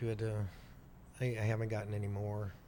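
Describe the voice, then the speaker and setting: A man's dark, mellow voice at a fairly quick pace, with audible room echo. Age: 60s. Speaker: biker, host's uncle. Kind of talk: casual interview. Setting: podcast studio.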